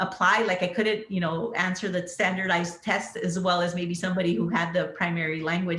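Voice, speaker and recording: The speech moves at a fairly quick pace. Noticeable background noise and audible room echo accompany it. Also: woman. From US Southwest border, southern Arizona. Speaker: pharmacist executive. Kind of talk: panel interview. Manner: conversational with many fillers.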